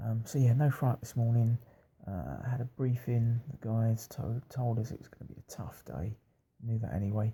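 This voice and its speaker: A soft-spoken man with a British accent, somewhat breathy, dark and mellow in tone, at medium pitch and moderate pace. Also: ordinary pitch variation. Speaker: video blogger on a long-distance cycling trip. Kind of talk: casual video diary. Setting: B and B room at night. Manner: quiet, talking softly; hesitant, many fillers.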